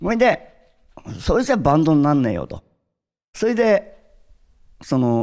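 Speaking at a fairly slow pace, a man leaves long, frequent pauses while his pitch swings very widely. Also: quiet background. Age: 60s. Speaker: drummer; interviewee. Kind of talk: interview; interview answer. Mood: cheerful, reflective. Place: stage. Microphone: handheld.

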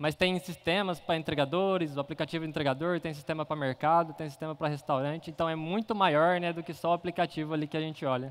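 A man speaks at a very fast pace with hardly any pauses and fairly even intonation. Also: fairly high pitch for a man. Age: 20s. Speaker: software engineer; conference speaker. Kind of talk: conference talk. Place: hall.

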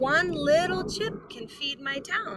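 A woman's put-on character voice, high in pitch and fairly bright in tone, at a slow pace with lively intonation

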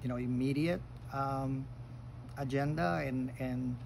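A man keeps a moderate pace while light background noise plays underneath. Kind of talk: casual reflective talk. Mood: calm, reflective. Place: garden. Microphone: phone near.

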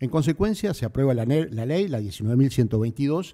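Against a quiet background, a man speaks with lively intonation and a dark, mellow tone. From Uruguay. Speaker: civil service official. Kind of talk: formal speech. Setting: stage with audience. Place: hall. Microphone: podium.

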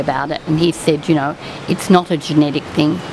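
Someone speaks with an Australian accent and ordinary pitch variation. Noticeable background noise can be heard. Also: woman. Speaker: retired teacher and local writer. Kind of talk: casual interview. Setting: outdoors at a venue, live broadcast. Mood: warm, engaged. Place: cafe. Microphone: studio mic.

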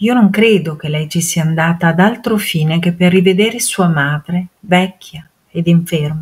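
A woman speaks at a fairly slow pace in a fairly low, somewhat breathy voice. Her pitch varies an ordinary amount. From Modena, Italy. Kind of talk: dramatic reading of a historical letter.

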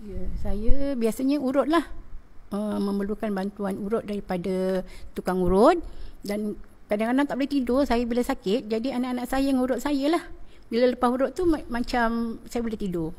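Her fairly high pitch, lively intonation and dark, mellow tone carry this woman's speech along at a moderate pace. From Malaysia, Johor (Rengit). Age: 50s. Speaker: schoolteacher. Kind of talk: testimonial interview.

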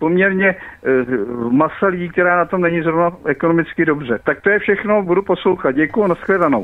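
A man talks at a fairly quick pace in a high pitch, with ordinary pitch variation and very even loudness. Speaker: caller. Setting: phone call.

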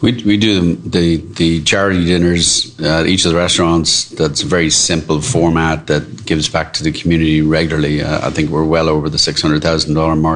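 Over noticeable background noise, a man with an Irish accent speaks at a moderate pace in a very deep, low pitch, with fairly even intonation and very even loudness. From Ireland, Dublin. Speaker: restaurant co-owner. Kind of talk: casual interview. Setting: restaurant.

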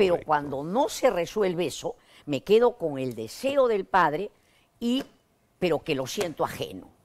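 A woman's fairly low pitch moves in very wide swings. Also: moderate pace. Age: 80s+. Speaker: psychotherapist; guest. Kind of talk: interview. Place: studio. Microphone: lapel.

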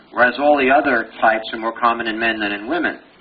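Fairly quick speech from a man with a Brooklyn accent, over noticeable background noise. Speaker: pathology professor giving board review lecture. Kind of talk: lecture. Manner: animated, conversational.

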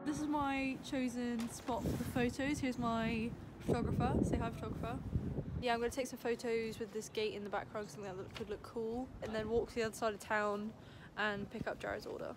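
A woman talks at a fairly quick pace, with noticeable background noise around her. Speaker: vlogger. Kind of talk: casual vlog chat. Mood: cheerful, apologetic about chips. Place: street. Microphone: phone near.

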